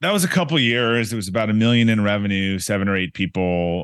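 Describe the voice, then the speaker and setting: A man speaks with an American accent. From Boston area (Brookline), Massachusetts. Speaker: entrepreneur and author. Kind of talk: podcast interview.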